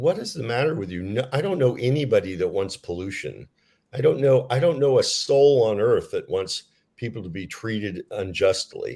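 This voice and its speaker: Over a very clean, silent background, a man with a somewhat breathy voice and a dark, mellow tone speaks at medium pitch and a moderate pace, his pitch swinging very widely. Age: 60s. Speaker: author. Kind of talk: interview.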